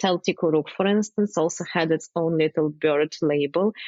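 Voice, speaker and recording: At a moderate pace, a woman speaks with a Ukrainian accent and ordinary pitch variation. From Ukraine. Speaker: wine communicator, former chemist. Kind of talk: interview answer.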